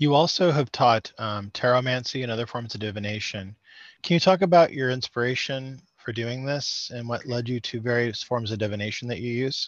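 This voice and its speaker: A man's plain, everyday voice at medium pitch, fairly quick, with ordinary pitch variation over a quiet background. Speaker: podcast host. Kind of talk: interview.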